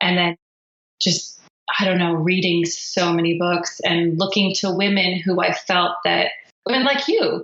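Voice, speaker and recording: A woman with an ordinary speaking voice talks at a fairly slow pace and medium pitch, with fairly even intonation and very even loudness. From Philippines, raised by American parents. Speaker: singer-songwriter. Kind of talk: interview answer.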